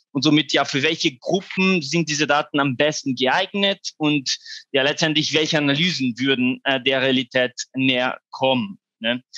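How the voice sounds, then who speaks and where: At a moderate pace, a man speaks with a fairly high pitch and a bright, sharp tone. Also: dry, close sound with no echo. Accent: non-native. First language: not German (speaking German). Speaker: researcher at a foundation. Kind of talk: conference presentation. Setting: online conference. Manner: halting, many fillers.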